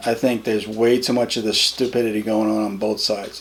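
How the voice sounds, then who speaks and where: Over noticeable background noise, a man with an American accent speaks at medium pitch and a moderate pace, his intonation fairly even. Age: 50s. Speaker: interviewee. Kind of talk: interview. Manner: halting, with many repetitions.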